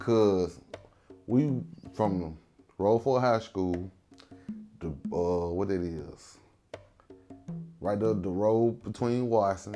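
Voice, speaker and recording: Over music in the background, a man with a fairly low voice speaks at a very slow pace, leaving long, frequent pauses, with ordinary pitch variation. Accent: Mississippi Delta. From Tunica, Mississippi Delta. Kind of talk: interview answer. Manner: casual, conversational.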